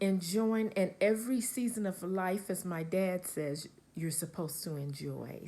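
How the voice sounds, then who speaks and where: At a fairly slow pace, a woman talks in a relaxed, dark, mellow tone with ordinary pitch variation. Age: 60s. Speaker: crochet vlogger. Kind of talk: casual vlog talk to camera. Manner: relaxed, with many fillers.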